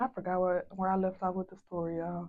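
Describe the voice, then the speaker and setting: A woman with a Southern US accent speaks in a dark, mellow tone with flat, monotone intonation. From US South. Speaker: hairstylist and beauty vlogger. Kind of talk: casual vlog chat.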